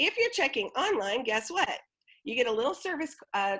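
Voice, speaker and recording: At a moderate pace, a woman talks in a plain, everyday voice with ordinary pitch variation over a quiet background. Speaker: theatre event coordinator. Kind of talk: online presentation walkthrough.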